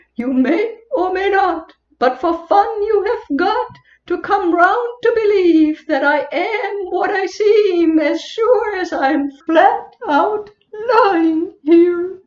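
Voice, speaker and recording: A woman speaks at a very slow pace in a squeaky, put-on character voice of extremely high pitch. There is a slight echo. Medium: stage play. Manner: playful, punning, rhythmic.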